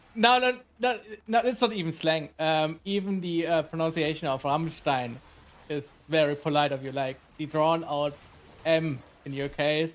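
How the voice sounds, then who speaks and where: A man's fairly high voice in a German accent, at a moderate pace with lively intonation and long, frequent pauses. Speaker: gamer. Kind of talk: casual chat.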